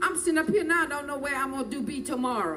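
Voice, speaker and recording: A woman speaks at a very fast pace in a high pitch, with an animated tone. Audible room echo surrounds her voice. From New Orleans, Louisiana. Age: 60s. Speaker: hurricane survivor witness. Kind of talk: testimony.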